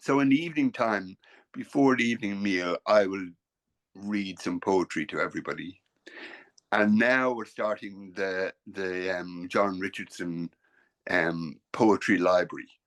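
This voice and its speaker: A man with an Irish accent speaks at a fairly slow pace. His voice sits fairly low, with ordinary pitch variation. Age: 60s. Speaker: painter. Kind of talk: casual chat. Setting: video call. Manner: halting.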